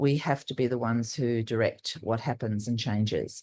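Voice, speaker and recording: With an Australian accent, a woman speaks at a moderate pace in a very deep, low pitch over a quiet background. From Australia, Northern Territory. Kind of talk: panel discussion. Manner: loud; halting, many fillers.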